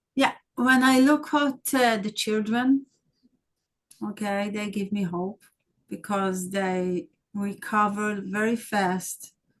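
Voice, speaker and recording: The speaker goes at a very slow pace with long, frequent pauses and ordinary pitch variation. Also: woman, medium pitch for a woman. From Israel. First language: Hebrew. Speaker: documentary filmmaker. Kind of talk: interview. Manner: halting.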